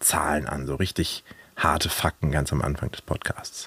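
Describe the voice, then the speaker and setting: A man speaks at a moderate pace. The recording is dry and close, without echo. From Germany, Hannover. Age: 30s. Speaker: podcast host. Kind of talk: casual chat. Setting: outdoors at a zoo.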